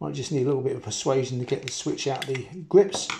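Light background noise sits behind a man's somewhat breathy voice. His pitch varies in an ordinary way. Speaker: hobbyist radio repairer. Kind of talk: tutorial. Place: kitchen. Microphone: phone near.

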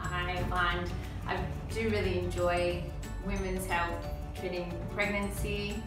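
A fairly slow pace with audible room echo and clear music in the background. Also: woman. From Melbourne, Australia. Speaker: osteopath. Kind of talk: interview answer. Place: office. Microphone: camera far.

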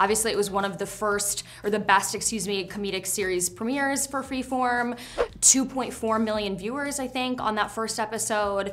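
A woman at a fairly high pitch and moderate pace, with noticeable background noise. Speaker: interviewer. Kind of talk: interview questions. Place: studio.

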